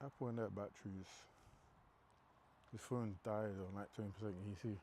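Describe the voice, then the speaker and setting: Speaking quietly in a London accent, the voice keeps a fairly even intonation. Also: man, fairly low pitch for a man, moderate pace. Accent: London multicultural English. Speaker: fitness livestreamer. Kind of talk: casual chat. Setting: gym. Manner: quiet but carrying.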